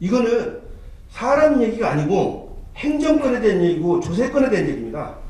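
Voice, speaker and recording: A man speaks at an extremely high pitch with very wide swings, over noticeable background noise and audible room echo. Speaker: history researcher, debate panelist. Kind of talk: heated debate. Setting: conference hall panel. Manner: fast.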